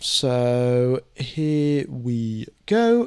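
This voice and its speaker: With a British accent, a man speaks at a medium pitch. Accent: UK. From UK (born in Mumbai, moved young). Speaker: F1 live stream commentator. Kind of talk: live stream commentary and chat Q&A. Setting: live stream. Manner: casual, many fillers (um, uh).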